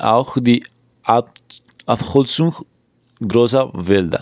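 Lively intonation from a man at medium pitch. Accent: Spanish. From Colombia. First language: Spanish (speaking German). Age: 20s. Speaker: climate activist. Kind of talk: scripted podcast discussion. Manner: halting.

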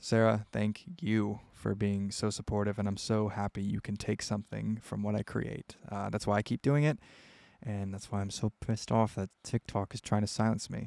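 Recorded very cleanly, dry and close with no echo against a silent background, a man speaks at a moderate pace with fairly low pitch and fairly even intonation. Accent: American. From US Midwest. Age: 20s. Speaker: podcast host and indie rock musician. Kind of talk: casual solo monologue. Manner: rambling, many filler words.

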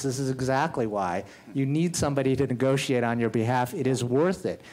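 A man speaks in a normal speaking voice at a moderate pace, his pitch medium with ordinary variation. The recording is very clean, with a silent background. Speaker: general counsel. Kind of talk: live panel discussion. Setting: stage with audience.

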